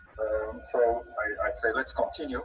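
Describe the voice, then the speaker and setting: A man speaks in a Dutch accent. Noticeable background noise runs under his voice. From Belgium. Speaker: trainer. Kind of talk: webinar. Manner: halting, many repeated words.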